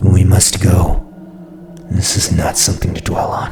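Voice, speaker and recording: Someone uses a put-on character voice at a moderate pace over clear background music. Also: man, very deep, low pitch for a man. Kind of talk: dark fantasy horror narration. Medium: read story. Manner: solemn, grave, measured.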